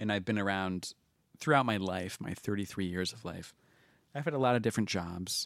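A man's plain, everyday voice, fairly low in pitch with ordinary pitch variation and big swings in loudness, at a moderate pace on a very clean recording with a silent background. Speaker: podcast host. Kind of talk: casual chat. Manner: joking, laughing.

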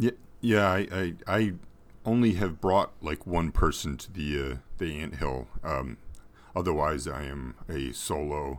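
Very deep and low, a man's voice carries vocal fry and lively intonation. He talks fairly slowly, with big swings in loudness. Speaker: podcast guest and fan. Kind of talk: casual interview chat.

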